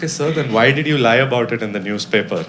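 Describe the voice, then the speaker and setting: A man talks fairly quickly, with noticeable noise in the background. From India. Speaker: stand-up comedian. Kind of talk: live stand-up comedy set. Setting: live comedy venue with audience.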